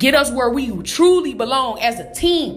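A woman speaks in a high pitch with an animated tone and lively intonation. Music plays in the background, and the room echo is audible. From Detroit, US Midwest. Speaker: motivational podcaster. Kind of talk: motivational monologue.

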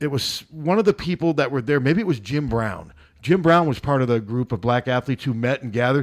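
In a very clean recording with a silent background and a dry, close sound without echo, a man with an ordinary speaking voice talks at a fairly quick pace with lively intonation. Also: medium pitch for a man. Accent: American. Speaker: local sports radio guest. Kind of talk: casual chat. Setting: studio.

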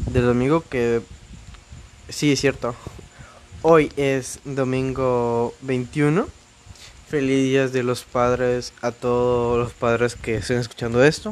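Speaking with a Mexican accent, a man at medium pitch talks at a very slow pace with fairly even intonation and long, frequent pauses. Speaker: podcast host. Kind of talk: casual monologue. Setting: home recording.

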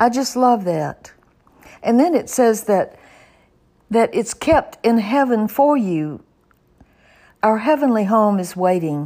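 A woman's fairly high voice in a dark, mellow tone, with lively intonation, a very slow pace and long, frequent pauses. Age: 80s+. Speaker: Bible teacher. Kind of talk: Bible teaching. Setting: podcast recording.

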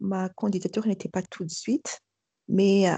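Her voice has a dark, mellow tone and is somewhat breathy. The woman speaks at a fairly slow pace in a dry, close sound with no echo. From Madagascar. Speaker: school principal. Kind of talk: testimony. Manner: hesitant.

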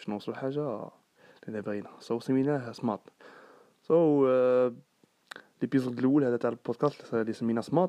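A man talks at a fairly quick pace in a dark, mellow tone, with medium pitch and ordinary pitch variation. Long, frequent pauses break up his speech, and the sound is dry and close with no echo. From Algeria, Sidi Bel Abbès. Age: 20s. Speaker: student and podcast host. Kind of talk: casual monologue. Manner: talkative.

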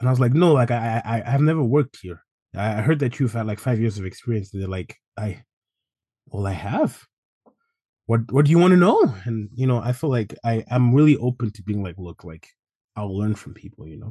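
A man talks at a fairly quick pace and a medium pitch, with a dark, mellow tone and a somewhat breathy sound. He leaves long, frequent pauses, and his loudness swings widely. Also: lively intonation, quiet background. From Zimbabwe. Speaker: assistant gym manager. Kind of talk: interview.

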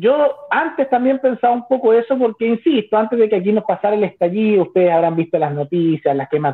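A man with a Chilean accent and a high pitch talks at a very fast pace, his pitch swinging very widely. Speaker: YouTuber. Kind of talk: debate.

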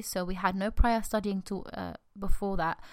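A woman speaks with a British accent. Her pitch is medium. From UK. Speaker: podcast host. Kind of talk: solo monologue, personal storytelling. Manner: fast talker.

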